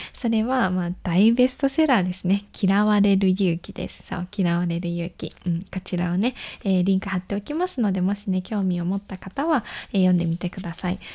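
A woman's medium-pitched, somewhat breathy voice, dark and mellow with a relaxed tone, at a fairly quick pace with ordinary pitch variation, on a very clean recording with a silent background. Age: 20s. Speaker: solo podcast host. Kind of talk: casual solo radio talk. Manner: relaxed, conversational with fillers.

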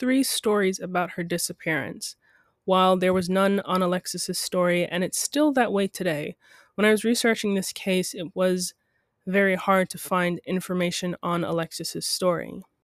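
Speaking at a moderate pace, a woman uses an ordinary speaking voice on a very clean recording with a silent background. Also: dry, close sound with no echo. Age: 20s. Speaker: true crime podcast host. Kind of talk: scripted narration.

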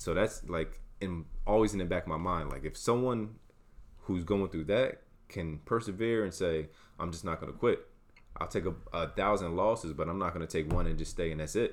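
The man talks at a moderate pace in a very deep, low voice with ordinary pitch variation. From South Jersey (Wildwood, Cape May County). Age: 30s. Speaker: university staff working with students. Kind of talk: casual interview.

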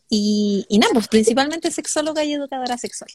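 A woman's high voice with ordinary pitch variation at a fairly quick pace, dry and close with no echo. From northern Chile, Calama. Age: 30s. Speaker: psychologist and sex educator. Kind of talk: interview on a live stream.

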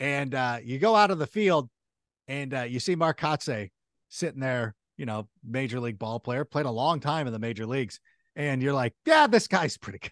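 A man speaks at a moderate pace and a medium pitch with lively intonation, recorded dry and close with no echo against a quiet background. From Southern California. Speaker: fantasy football analyst. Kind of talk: casual interview.

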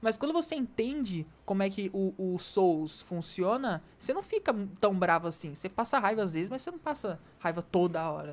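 Using a plain, everyday voice, a woman speaks at a moderate pace and medium pitch, with lively intonation and hardly any pauses. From Rio de Janeiro. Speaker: podcast co-host. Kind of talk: casual chat. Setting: remote recording.

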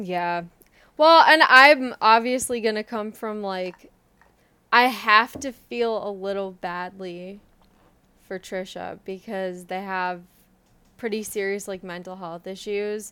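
A woman with a bright, sharp tone speaks at a very slow pace with long, frequent pauses, a medium pitch and ordinary pitch variation. Her loudness swings widely in a very clean recording with a silent background. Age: 20s. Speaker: podcast co-host. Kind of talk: casual chat. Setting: at her parents' home.

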